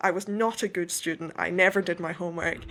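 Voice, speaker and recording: Monotone, flat intonation and a bright, sharp tone come at a fairly quick pace on a very clean recording with a silent background. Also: woman. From west coast of Scotland, rural. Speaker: author. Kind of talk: interview.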